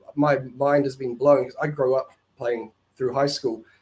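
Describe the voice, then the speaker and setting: The voice has a dark, mellow tone and fairly even intonation, with a New Zealand accent. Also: man. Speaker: caller. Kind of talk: call-in conversation.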